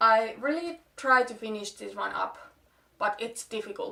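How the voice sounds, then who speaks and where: In a Finnish accent, a woman speaks at a fairly slow pace with a bright, sharp tone. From Finland. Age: 20s. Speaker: beauty vlogger. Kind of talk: casual talk to camera.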